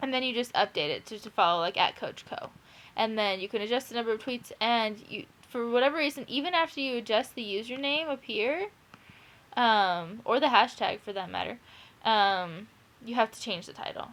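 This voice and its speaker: A woman talks at a fairly quick pace with lively intonation. Her voice sits fairly high in pitch. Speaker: teacher. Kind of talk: tutorial. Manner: fast; casual, hesitant with fillers.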